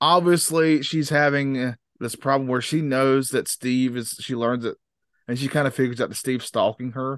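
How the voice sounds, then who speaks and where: A man speaks in an ordinary speaking voice. His pace is moderate and his pitch medium. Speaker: podcast host. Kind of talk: casual chat.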